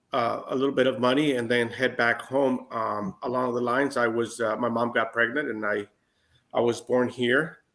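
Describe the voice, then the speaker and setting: A man speaks at a moderate pace with a medium pitch and flat, monotone intonation, recorded very cleanly against a silent background. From US West Coast, San Diego County. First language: Spanish. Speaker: former federal prisoner. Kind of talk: interview. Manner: halting, many fillers.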